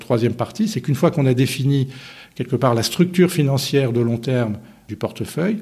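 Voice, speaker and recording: A man's somewhat breathy, dark, mellow voice at a medium pitch, with lively intonation and a fairly quick pace. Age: 60s. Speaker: insurance investment director. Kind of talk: interview.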